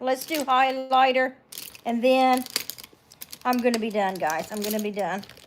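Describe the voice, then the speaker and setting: A woman with an Appalachian accent speaks at a high pitch. Her tone is relaxed and her pace is moderate. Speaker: beauty livestreamer. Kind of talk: casual live makeup tutorial. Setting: home livestream. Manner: chatty, relaxed.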